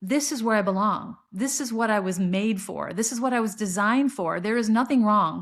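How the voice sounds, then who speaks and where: In a very clean recording with a silent background, a woman speaks at a fairly quick pace with hardly any pauses, her fairly high voice somewhat breathy and her pitch variation ordinary. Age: 60s. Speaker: podcast host. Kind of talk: personal monologue. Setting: solo recording at laptop. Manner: repetitive, halting restarts.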